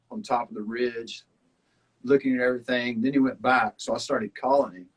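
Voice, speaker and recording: Speaking with a Southern US accent at a fairly quick pace, a man keeps fairly even intonation in a dry, close sound with no echo. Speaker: survival reality show contestant. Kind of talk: casual chat.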